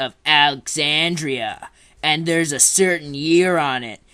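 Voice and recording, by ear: A man puts on a cartoonish character voice with a smug tone, fairly high pitch, fairly even intonation and a fairly slow pace. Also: quiet background.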